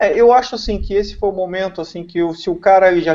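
A man speaks against a quiet background. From Brazil. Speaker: car tuning specialist; talk show guest. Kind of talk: casual chat. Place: home room. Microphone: video call.

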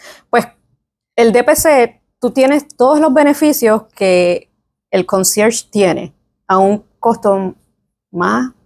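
In a Puerto Rican accent, a woman speaks very slowly at a fairly high pitch, her loudness very even, with long, frequent pauses against a quiet background. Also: lively intonation. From Puerto Rico, San Juan. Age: 20s. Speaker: physician; guest. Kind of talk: interview. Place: meeting room.

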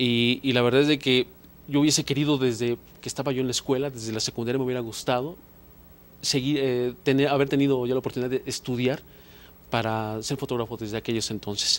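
Monotone, flat intonation marks a man's speech at a very fast pace. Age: 40s. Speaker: photographer; guest. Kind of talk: interview. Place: studio. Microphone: handheld.

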